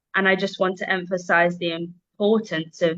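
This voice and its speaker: With a London accent, a woman talks at a moderate pace and medium pitch, with ordinary pitch variation. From London, England. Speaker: English teacher. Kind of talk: casual interview.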